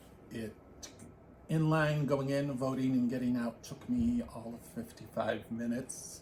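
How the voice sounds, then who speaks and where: With noticeable background noise behind him, a man of medium pitch speaks at a fairly slow pace with fairly even intonation. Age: 60s. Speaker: knitting podcast co-host. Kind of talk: casual chat.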